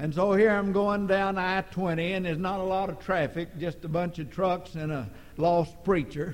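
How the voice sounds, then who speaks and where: At a moderate pace, a man with a high voice talks in a fairly even intonation. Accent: American. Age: 60s. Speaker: preacher. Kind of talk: sermon. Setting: church.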